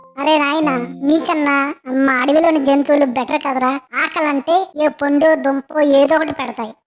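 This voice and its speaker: A cartoonish character voice speaks at a high pitch. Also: moderate pace. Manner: chatty, boastful.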